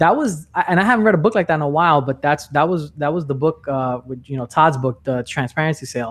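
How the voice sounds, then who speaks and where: The speech comes very fast in a New York accent, with hardly any pauses. Pitch variation is ordinary. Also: man, fairly high pitch for a man. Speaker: sales trainer and podcast host. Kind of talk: podcast interview. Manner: animated.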